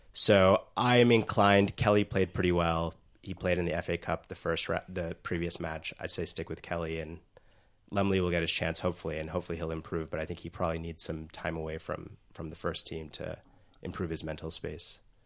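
A man with an American accent, very deep and low in pitch, at a fairly quick pace with fairly even intonation. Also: quiet background. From US, New York/New Jersey. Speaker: guest football fan.

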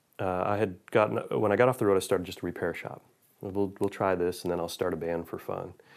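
In an American accent, a man with an unremarkable speaking voice and a fairly low pitch talks at a moderate pace on a very clean recording with a silent background. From Buffalo, New York. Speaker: guitar builder and session guitarist. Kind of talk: interview.

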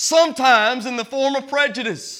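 A man with an American accent speaks in a raised, projected voice at an extremely high pitch. His tone is bright and sharp, with ordinary pitch variation. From small-town US. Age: 30s. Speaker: Baptist pastor. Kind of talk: Sunday-morning Baptist sermon, preacher working the congregation with call-and-response. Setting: church service. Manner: conversational, earnest preaching with direct appeals to the congregation.

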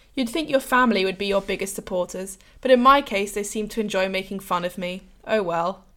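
With an English accent, a woman talks at a fairly quick pace, a medium pitch, and ordinary pitch variation. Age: 18. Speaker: university student, podcast co-host. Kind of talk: scripted intro.

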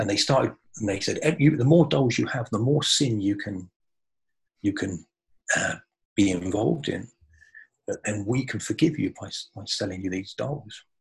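With lively intonation and a somewhat breathy sound, a man speaks in a fairly low pitch at a moderate pace, leaving long, frequent pauses. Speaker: butcher and spiritual speaker. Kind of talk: spiritual talk in an interview. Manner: calm, peaceful.

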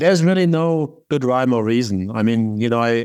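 A man with a German accent speaks at a moderate pace and medium pitch over a quiet background. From southern Germany, Baden-Württemberg. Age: 60s. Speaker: biotech investor. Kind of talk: interview.

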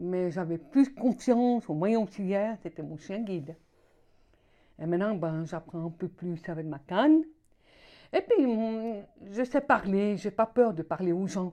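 Against a quiet background, a woman with a dark, mellow tone and medium pitch speaks at a fairly slow pace with lively intonation. Her loudness swings widely, and she takes long, frequent pauses. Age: 60s. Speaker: deafblind resident. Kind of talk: personal testimony. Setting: around a table.

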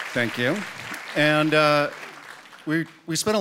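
A man with a fairly high pitch at a fairly slow pace, crowd noise in the background. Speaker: executive director. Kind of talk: announcement. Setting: stage with audience. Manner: halting.

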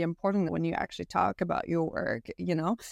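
A woman is talking. She speaks with a Quebec accent. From Quebec, Canada (French-speaking small town). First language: French. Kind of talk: interview conversation.

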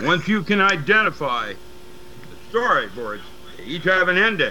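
Over noticeable background noise, a man speaks at a fairly slow pace with very wide swings in pitch. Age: 70s. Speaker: metaphysics teacher and paranormal researcher. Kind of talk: casual interview. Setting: remote call. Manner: rambling, halting.

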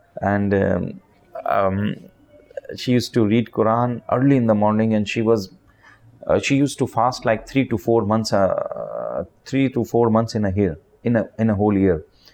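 In a Pakistani accent, the speaker talks at a moderate pace with fairly even intonation. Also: man, medium pitch for a man. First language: Urdu. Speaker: charity leader. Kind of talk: interview. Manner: halting.

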